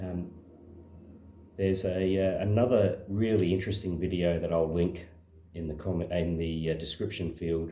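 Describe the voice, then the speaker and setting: In a room with audible echo, a man speaks at a moderate pace in a very deep, low pitch with a dark, mellow tone. His voice is somewhat breathy and his intonation monotone and flat. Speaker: slot car hobbyist and video maker. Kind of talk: casual demonstration tutorial. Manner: hesitant, many fillers.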